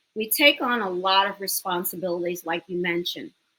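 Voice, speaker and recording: A woman's bright, sharp tone with an American accent. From New York City, the Bronx. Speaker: business owner and educator. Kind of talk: interview.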